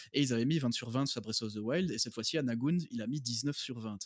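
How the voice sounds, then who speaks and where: A man's medium-pitched voice at a fairly quick pace, fairly even in intonation, on a very clean recording with a silent background. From Belgium. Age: 30s. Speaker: doctor and video game fan. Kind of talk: casual chat. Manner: halting, many repetitions and fillers.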